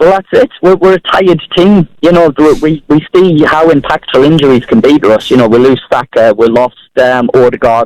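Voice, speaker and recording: In a Sunderland accent, a man speaks at a fairly high pitch with lively intonation and a moderate pace. His loudness stays very even, and the sound is dry and close with no echo. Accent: Mackem (Sunderland). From Sunderland, north-east England. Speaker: caller. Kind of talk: phone-in call.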